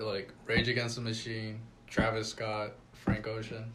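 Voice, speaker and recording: A man with an American accent at a medium pitch, over noticeable background noise. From Coachella Valley, California. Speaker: DJ / music artist. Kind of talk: casual podcast conversation.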